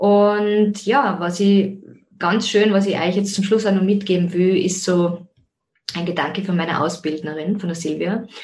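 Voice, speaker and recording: This woman speaks at a moderate pace and a medium pitch. Her intonation stays fairly even. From Austria, Zell am See (Salzburg). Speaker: podcast host, life coach and yoga teacher. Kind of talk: personal monologue.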